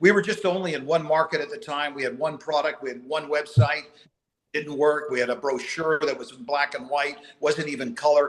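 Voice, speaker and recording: A man with a plain, everyday voice talks at a fairly quick pace and a fairly high pitch, with ordinary pitch variation and big swings in loudness. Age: 60s. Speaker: company co-founder. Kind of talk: motivational speech.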